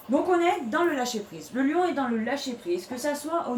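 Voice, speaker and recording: Over noticeable background noise and audible room echo, a woman speaks at a moderate pace with very wide pitch swings. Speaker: tarot reader. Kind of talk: tarot reading video monologue. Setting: bedroom. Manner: hesitant, many fillers.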